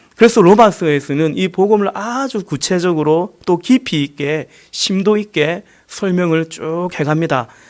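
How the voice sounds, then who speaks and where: The voice is a man's. Its pitch varies in an ordinary way. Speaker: pastor. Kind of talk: sermon. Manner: loud.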